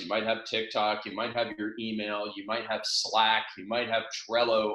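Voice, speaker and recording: A man speaks with a bright, sharp tone. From Canada, near Toronto. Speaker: business coach and author. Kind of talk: seminar talk. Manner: fast.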